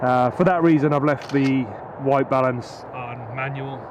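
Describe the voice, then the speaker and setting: A man speaks at a moderate pace in a medium pitch with flat, monotone intonation over noticeable background noise. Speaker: drone videographer vlogger. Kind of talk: casual vlog narration. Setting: outdoors at night.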